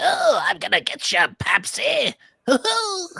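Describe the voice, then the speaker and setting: A put-on character voice, extremely high-pitched and growling, at a fairly slow pace. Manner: menacing, playful.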